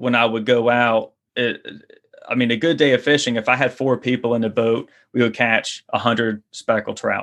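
A man talks in a Louisiana accent at medium pitch. His intonation is monotone and flat. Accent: Louisiana Southern US. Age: 30s. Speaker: fishing guide and online course creator. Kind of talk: casual interview. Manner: halting, many repetitions and fillers.

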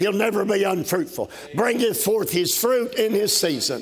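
A man's high, animated voice with a Southern US accent. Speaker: Baptist preacher. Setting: conference stage with live congregation. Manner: folksy and conversational between scripture, joking and talking directly to the crowd.

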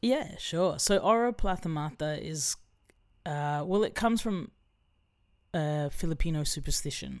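With an Australian accent, a woman speaks at a fairly slow pace using lively intonation and long, frequent pauses. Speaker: musician. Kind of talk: casual chat.

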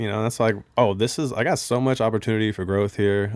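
A man with a plain, everyday voice and fairly low pitch talks at a fairly quick pace with fairly even intonation, captured on a very clean recording with a silent background. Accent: American. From Bellevue, Washington, US. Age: 30s. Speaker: strength coach and yoga teacher, guest. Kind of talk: casual chat.

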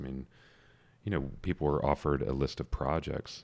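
A man's very deep, low voice with vocal fry and an American accent, very fast, with ordinary pitch variation, in a very clean recording with a silent background. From US South, metro Atlanta, Georgia. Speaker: urban designer. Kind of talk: casual interview.

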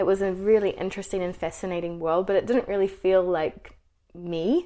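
A woman with a New Zealand accent, medium pitch and a dark, mellow tone. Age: 20s. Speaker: HR professional and YouTuber. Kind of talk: interview.

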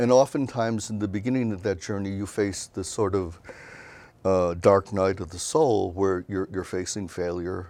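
A man with an American accent talks in a fairly low pitch, his dark, mellow tone carrying ordinary pitch variation. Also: moderate pace. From US Midwest, Chicago. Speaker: writer and memoirist. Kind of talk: interview. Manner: halting, many fillers.

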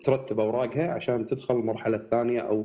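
Speaking at a very fast pace, a man uses a medium pitch, a dark, mellow tone and fairly even intonation. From Kuwait. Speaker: tech podcast guest. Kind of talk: casual chat.

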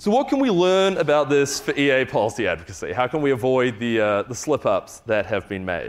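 The speaker has a New Zealand accent and very wide pitch swings. The pace is fairly quick, with hardly any pauses. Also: man, fairly high pitch for a man. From New Zealand, Wellington. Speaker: farm animal welfare program lead. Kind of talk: conference talk.

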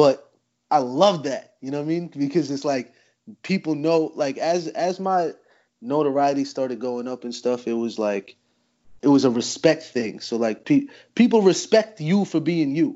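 A man with a plain, everyday voice speaks at a moderate pace, his fairly high pitch carried by lively intonation. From New Jersey, US. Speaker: battle rapper. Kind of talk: casual chat.

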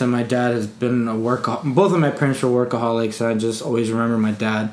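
The man talks at a fairly quick pace. Noticeable background noise and audible room echo fill the recording. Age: 20s. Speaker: podcast host. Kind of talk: casual chat.

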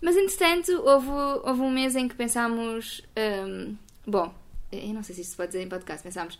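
A woman speaks at a moderate pace with a fairly high pitch. Her pitch swings very widely, and her loudness shifts a great deal. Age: 20s. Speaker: sustainability communicator. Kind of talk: casual interview chat. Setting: at home.

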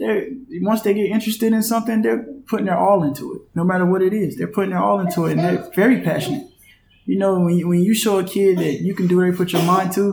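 Speaking very fast with an American accent, a man uses a high pitch and ordinary pitch variation against noticeable background noise. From North Carolina, US. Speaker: professional basketball player. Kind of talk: interview.

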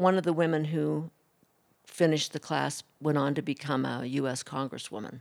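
A woman with a very deep, low pitch and vocal fry talks at a moderate pace with ordinary pitch variation. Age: 60s. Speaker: oral storyteller. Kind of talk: personal storytelling. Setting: stage with audience.

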